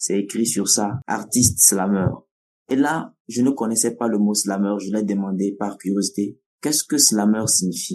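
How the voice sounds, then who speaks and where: In a Togolese accent, a man talks at a fairly slow pace, his fairly low voice dark and mellow in tone. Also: ordinary pitch variation. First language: Nawdm (speaking French). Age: 20s. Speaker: slam poet, storyteller, festival director. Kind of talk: interview.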